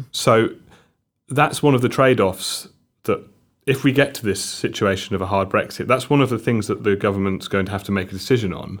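A man with a South Wales accent speaks at a fairly quick pace and medium pitch, with ordinary pitch variation. The recording is very clean, with a silent background. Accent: Welsh, South Wales. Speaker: trade policy expert. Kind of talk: podcast interview. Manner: hesitant, halting.

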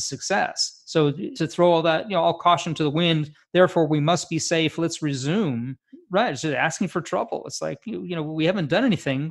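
A man has an ordinary speaking voice, fairly high in pitch with ordinary pitch variation. He keeps a moderate pace against a quiet background. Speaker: physician co-host. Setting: video call.

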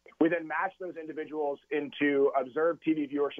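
A man with an American accent talks at a moderate pace in a plain, everyday voice. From California. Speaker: data analytics director, former college football kicker. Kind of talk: radio interview.

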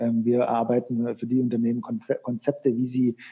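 A man's medium-pitched voice has a dark, mellow tone, captured with a dry, close sound and no echo. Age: 40s. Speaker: sports marketing sales manager. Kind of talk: interview. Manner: halting, many filler sounds.

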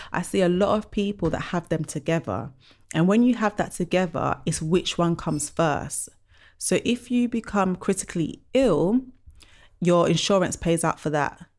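A woman with a plain, everyday voice talks at a moderate pace, her pitch fairly low with ordinary variation. The recording is very clean, the background silent. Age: 30s. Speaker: money mindset and savings coach. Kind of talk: podcast interview.

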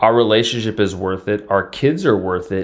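A man with a fairly low pitch speaks in a normal speaking voice. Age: 40s. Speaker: host's romantic partner. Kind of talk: casual chat.

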